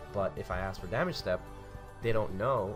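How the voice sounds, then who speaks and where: A man speaks while music plays in the background. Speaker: card game tutorial host. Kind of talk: casual tutorial talk.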